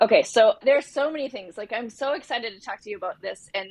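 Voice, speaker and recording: A woman speaks in an animated tone. Her pitch varies in an ordinary way. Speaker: podcast host. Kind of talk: interview.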